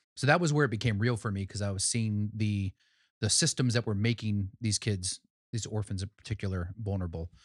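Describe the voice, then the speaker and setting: A normal speaking voice with ordinary pitch variation comes through with a dry, close sound and no echo. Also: man, fairly low pitch for a man, very clean recording, silent background. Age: 40s. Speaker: pastor and nonprofit worker. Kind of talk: casual chat.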